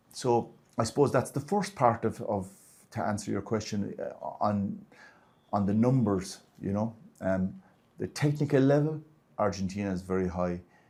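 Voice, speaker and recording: With an Irish accent, a man speaks at a moderate pace in a fairly low pitch and a dark, mellow tone, using ordinary pitch variation and long, frequent pauses. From Ireland. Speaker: martial arts grandmaster and federation president. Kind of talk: interview. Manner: halting.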